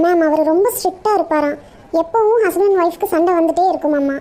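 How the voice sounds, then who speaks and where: A cartoonish character voice at an extremely high pitch moves at a moderate pace over light background noise. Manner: deferential, says ma'am constantly.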